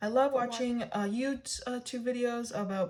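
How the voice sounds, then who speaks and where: A woman talks fairly slowly in a somewhat breathy voice. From Canada. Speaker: budgeting vlogger. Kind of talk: tutorial. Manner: halting.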